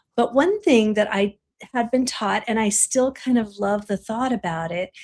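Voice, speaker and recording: Over a silent background on a very clean recording, a woman speaks at a fairly slow pace. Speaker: spiritual teacher. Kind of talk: interview.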